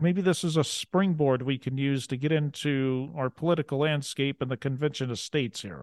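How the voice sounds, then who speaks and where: Recorded dry and close with no echo and a quiet background, a man with an ordinary speaking voice and an American accent talks at a moderate pace with ordinary pitch variation. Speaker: podcast host. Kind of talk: interview; scripted narration.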